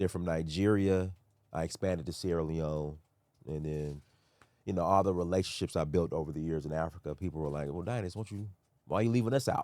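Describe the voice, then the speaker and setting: A man with an American accent talks at a very fast pace. His very deep, low pitch carries a dark, mellow tone. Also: ordinary pitch variation. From US, Sacramento, California. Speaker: tour organizer and author. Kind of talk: podcast interview. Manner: casual.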